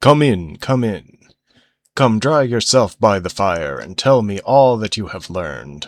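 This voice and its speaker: A man uses a put-on character voice at a fairly slow pace on a very clean recording with a silent background. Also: fairly low pitch for a man. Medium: read story.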